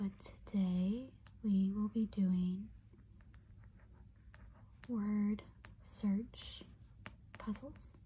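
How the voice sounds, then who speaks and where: Soft-spoken speech moves at a very slow pace, with long, frequent pauses. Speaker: ASMR puzzle channel host. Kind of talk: ASMR puzzle video, soft-spoken talk to camera. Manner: soft-spoken, slow.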